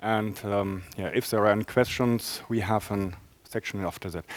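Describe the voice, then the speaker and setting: A man talks at a moderate pace, his voice dry and close with no echo. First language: German. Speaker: enterprise architect presenting a talk. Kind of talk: conference talk. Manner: halting, many fillers.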